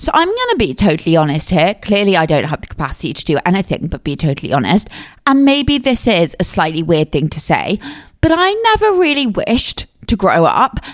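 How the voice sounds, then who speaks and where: A woman with a southern English accent, medium pitch, very wide pitch swings and a fairly quick pace. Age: 20s. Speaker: podcast host. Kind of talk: solo podcast monologue. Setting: home recording. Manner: casual, chatty.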